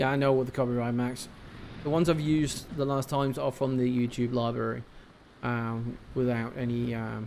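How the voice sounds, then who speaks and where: A man mumbling at a medium pitch and moderate pace in a flat monotone. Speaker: video game streamer. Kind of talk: live gameplay commentary. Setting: live stream.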